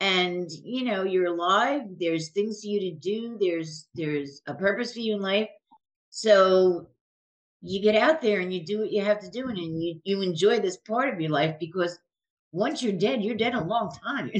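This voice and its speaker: At a moderate pace, a woman with an American accent uses lively intonation in an ordinary speaking voice. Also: medium pitch for a woman. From New Jersey. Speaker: podcast host. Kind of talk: interview conversation.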